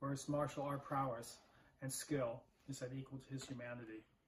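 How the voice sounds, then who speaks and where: A man's somewhat breathy, medium-pitched voice at a moderate pace with monotone, flat intonation. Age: 60s. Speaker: martial arts instructor. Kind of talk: recorded testimonial.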